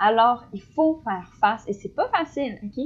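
A woman with an ordinary speaking voice talks at a fairly slow pace, with a fairly high pitch and lively intonation. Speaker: podcast co-host, student. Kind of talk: casual chat.

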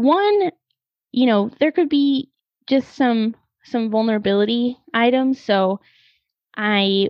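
In an American accent, a woman speaks at a fairly high pitch. Her pitch varies in an ordinary way. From US Midwest (Missouri). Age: 20s. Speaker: podcast host. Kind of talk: personal monologue. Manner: hesitant, many fillers.

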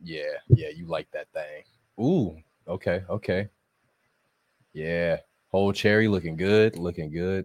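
A man with a very deep, low pitch speaks at a fairly slow pace with fairly even intonation and big swings in loudness. Long, frequent pauses come through on a very clean recording with a silent background. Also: dry, close sound with no echo. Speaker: cigar show crew member. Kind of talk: live show casual chat. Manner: soft-spoken.

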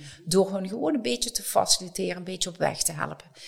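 A woman's fairly low voice carries vocal fry and ordinary pitch variation. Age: 60s. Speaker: company director of people and change. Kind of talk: podcast interview.

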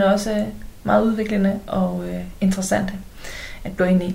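A woman with a medium pitch and a somewhat breathy voice speaks at a moderate pace, with audible room echo. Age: 40s. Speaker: love coach and podcaster. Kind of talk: casual chat.

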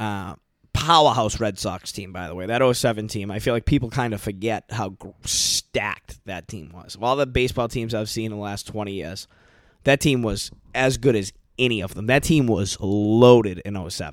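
A man's fairly low voice with an American accent, ordinary pitch variation and a moderate pace on a very clean recording with a silent background. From US Northeast, Boston area. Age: 30s. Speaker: podcast host. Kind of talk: casual monologue.

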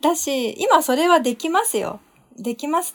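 Noticeable background noise sits under the recording. Her intonation is lively, the speaker a woman. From Japan. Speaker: podcast guest. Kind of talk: casual chat.

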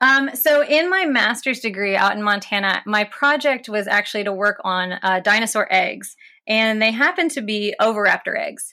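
A fairly high-pitched woman's voice with an American accent, bright and sharp in tone, lively in intonation, at a moderate pace with hardly any pauses, on a very clean recording with a silent background. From West Virginia, US. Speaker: paleontologist and PhD candidate. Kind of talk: interview.

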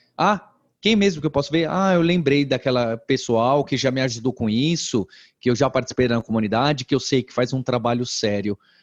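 A man with an ordinary speaking voice talks at a moderate pace and a medium pitch, with ordinary pitch variation, in a dry, close sound with no echo over a quiet background. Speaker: edtech company founder. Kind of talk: interview conversation.

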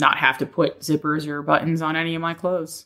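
The tone is bright and sharp, delivered monotone with flat intonation at a fairly quick pace. The recording is very clean, with a silent background. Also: woman. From United States, moved around (military family). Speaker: firefighter and clothing designer. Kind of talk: interview.

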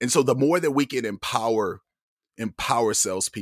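A man with an American accent talks at a moderate pace with ordinary pitch variation in an unremarkable speaking voice, the sound dry and close with no echo on a very clean recording with a silent background. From US Midwest, Toledo, Ohio. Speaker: automotive journalist and podcast host. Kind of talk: casual interview conversation. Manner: frequent repetitions and fillers.

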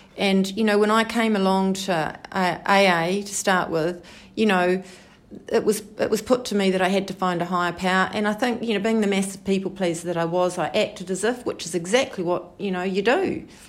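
With a New Zealand accent, a woman speaks fairly quickly at a medium pitch. Her intonation stays fairly even. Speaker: twelve-step group member. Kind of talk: testimony. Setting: support group meeting. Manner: halting.

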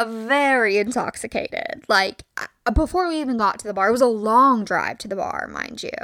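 A woman's high, animated voice with lively intonation, big swings in loudness and hardly any pauses. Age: 20s. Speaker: podcast host. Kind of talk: casual solo monologue. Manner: animated, frequent laughs.

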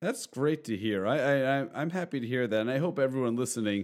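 A man with an unremarkable speaking voice keeps a moderate pace, his intonation lively. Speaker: podcast host. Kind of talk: interview.

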